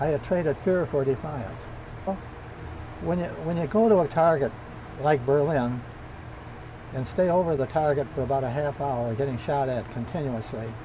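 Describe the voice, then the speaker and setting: A man with an American accent, fairly high pitch, and ordinary pitch variation, speaking at a moderate pace with long, frequent pauses over noticeable background noise. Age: 80s+. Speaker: World War II bomber pilot. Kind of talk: interview answer, personal war memories.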